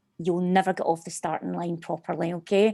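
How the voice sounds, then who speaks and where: A woman in a Scottish accent speaks at a moderate pace with a medium pitch and a dark, mellow tone. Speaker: hypnotherapist and life coach. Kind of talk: interview conversation.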